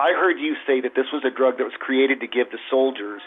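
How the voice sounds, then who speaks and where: A man talks at a moderate pace. His is an unremarkable speaking voice, pitched at a medium level. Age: 60s. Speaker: caller. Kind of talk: call-in comment.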